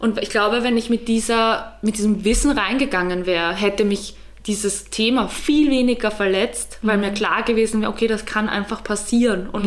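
Against noticeable background noise, a woman talks fairly quickly at a medium pitch with fairly even intonation. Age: 20s. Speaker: photographer. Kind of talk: casual chat.

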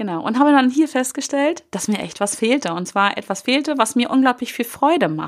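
A woman speaks in a high pitch with lively intonation, at a moderate pace with hardly any pauses. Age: 40s. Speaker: podcast host, success coach. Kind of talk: solo podcast monologue. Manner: casual, many filler sounds.

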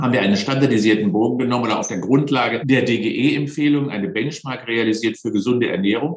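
A man with an ordinary speaking voice talks at a fairly quick pace, his medium pitch showing ordinary pitch variation. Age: 60s. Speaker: sports science professor. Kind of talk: interview.

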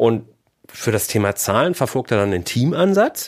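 A man's speech unfolds at a moderate pace. The background is silent, making for a very clean recording. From Germany, Ruhr area (Bochum). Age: 40s. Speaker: business mentor and podcaster. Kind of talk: podcast monologue. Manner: casual, upbeat.

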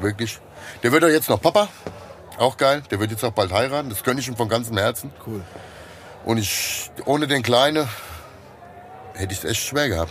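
Pausing long and often, a man speaks at a moderate pace with a Hessian accent and medium pitch. His pitch variation is ordinary, and noticeable background noise sits behind him. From Hesse, Germany (Liederbach). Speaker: former bouncer, magician. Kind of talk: casual chat.

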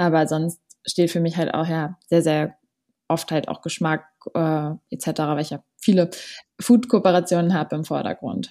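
Dark and mellow in tone, a woman's fairly low voice moves at a fairly slow pace with fairly even intonation and long, frequent pauses. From Berlin, Germany. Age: 20s. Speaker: social media influencer. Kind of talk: interview.

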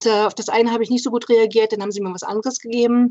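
Here a woman speaks. She goes at a very fast pace. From Brandenburg, eastern Germany (Spreewald). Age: 40s. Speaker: patient with congenital heart defect. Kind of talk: personal testimony in an interview.

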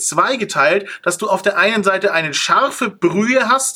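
A man speaks in a raised, projected voice, pitched high for a man. His pitch varies in an ordinary way at a moderate pace. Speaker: podcast host. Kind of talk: casual chat.

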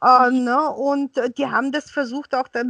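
In a Bulgarian accent, a woman speaks at a high pitch with fairly even intonation and a dry, close sound with no echo. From Bulgaria, raised partly in Austria. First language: Bulgarian (speaking German). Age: 50s. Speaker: interpreter and translator. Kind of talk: interview. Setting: video call. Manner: hesitant, many fillers.

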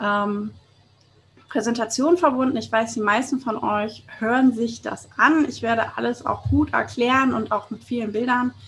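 This woman has a fairly high voice and fairly even intonation, and she talks at a moderate pace. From Hamburg, northern Germany. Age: 30s. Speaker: podcast host, networking expert. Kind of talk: solo podcast monologue. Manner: casual, colloquial.

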